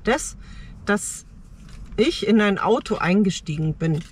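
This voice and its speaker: The sound is dry, with no echo. A woman speaks with lively intonation. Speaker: car-dwelling nomad vlogger. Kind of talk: casual vlog chat. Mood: reflective, personal storytelling. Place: car. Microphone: phone near.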